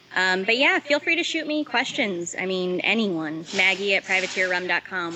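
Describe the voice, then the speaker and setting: Over noticeable background noise, a woman talks with an American accent. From Los Angeles, US. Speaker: head distiller. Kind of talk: interview.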